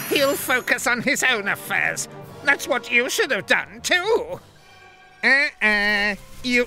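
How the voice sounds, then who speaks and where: A man uses a put-on character voice pitched extremely high, speaking at a fairly slow pace with long, frequent pauses and very even loudness over clear background music. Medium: video game. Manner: smug, mocking.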